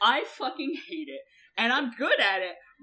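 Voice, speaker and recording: This woman's high voice is raised and projected, in an American accent. Her pitch swings very widely. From Georgia US, raised partly in Europe. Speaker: podcast co-host. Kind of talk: casual chat.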